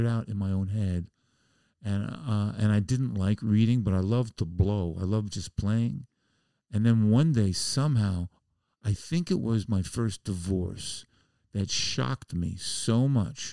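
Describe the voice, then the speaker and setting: A man with an American accent, fairly low in pitch, dark and mellow in tone, in a dry, close sound with no echo and a very clean recording with a silent background. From US Northeast, the Bronx, New York City. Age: 70s. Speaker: musician and comedian. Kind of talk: casual chat. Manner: animated.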